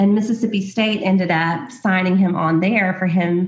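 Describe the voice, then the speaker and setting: Over noticeable background noise, a woman with an American accent speaks at a medium pitch with ordinary pitch variation. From US South, small-town Alabama. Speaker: boutique owner, former sorority consultant. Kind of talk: casual interview chat.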